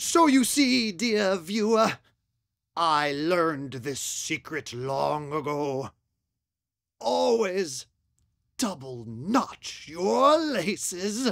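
A put-on character voice at a middle pitch and very slow pace, with long, frequent pauses, on a very clean recording with a silent background. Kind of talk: 1950s horror-host narration. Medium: short film. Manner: formal, wry, mock-solemn.

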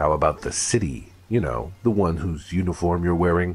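At a moderate pace, a man performs a put-on character voice pitched very deep and low. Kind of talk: hard-boiled noir detective. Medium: audio drama. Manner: menacing, deadpan.

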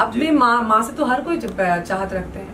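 A woman with very wide pitch swings, over light background noise. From Assam, India. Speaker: folk singer. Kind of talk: interview answer. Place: home room. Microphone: handheld.

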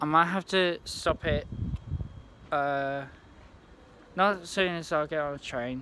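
With light background noise and a dry sound with no echo, a man talks at a fairly slow pace with fairly even intonation. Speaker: vlogger. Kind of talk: casual vlog chat. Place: station. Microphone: phone near.

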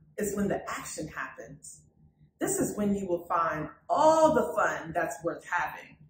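With big pitch swings, a woman speaks at a fairly slow pace in a room with audible echo.

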